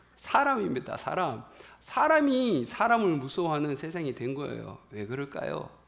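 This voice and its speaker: Over audible room echo, a man with a fairly high pitch talks at a fairly slow pace. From rural South Korea. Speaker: pastor. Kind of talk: sermon.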